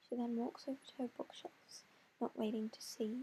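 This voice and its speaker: This is a soft-spoken woman. She talks at a fairly quick pace. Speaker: amateur writer. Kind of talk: reading aloud. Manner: halting. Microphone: quiet recording.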